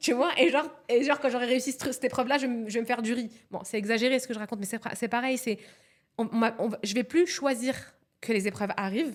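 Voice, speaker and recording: A woman talks at a very fast pace in a high pitch. Her tone is animated, with ordinary pitch variation. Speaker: psycho-coach. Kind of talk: podcast interview.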